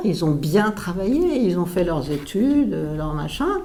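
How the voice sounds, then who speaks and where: Amid audible room echo, a woman with fairly low pitch talks at a fairly slow pace with lively intonation. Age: 70s. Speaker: retired pulmonologist. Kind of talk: interview. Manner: halting, many hesitations.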